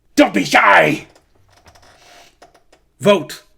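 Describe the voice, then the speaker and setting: A put-on character voice, gruff and at a middle pitch, delivers the lines. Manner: slightly panicked.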